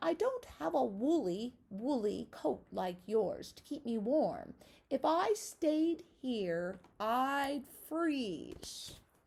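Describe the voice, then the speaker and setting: A woman does a put-on character voice, high-pitched with very wide pitch swings. She talks very slowly, with big swings in loudness. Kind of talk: bedtime story. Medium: read story.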